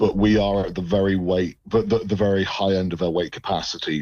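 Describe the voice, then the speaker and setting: Speaking at a very fast pace, a man with an English accent uses a very deep, low pitch and fairly even intonation. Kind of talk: radio interview.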